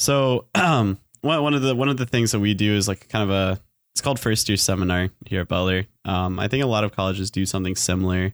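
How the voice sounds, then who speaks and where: A man with a fairly low pitch speaks very fast, keeping his loudness very even and his pitch variation ordinary. The recording is very clean with a silent background, in a dry, close sound with no echo. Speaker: engineering student and student teacher. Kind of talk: casual chat.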